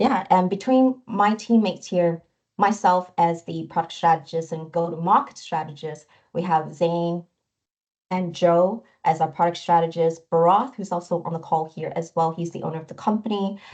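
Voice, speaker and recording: A plain, everyday voice with a Canadian accent, ordinary pitch variation, a moderate pace, big swings in loudness and a quiet background. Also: woman, fairly low pitch for a woman. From Canada (moved from Taiwan at 10). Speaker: product strategist. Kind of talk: webinar presentation.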